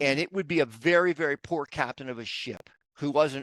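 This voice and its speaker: A man with an American accent and an unremarkable speaking voice, fairly high in pitch, with ordinary pitch variation at a moderate pace, in a dry, close sound with no echo against a quiet background. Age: 60s. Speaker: real estate investor. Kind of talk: podcast interview.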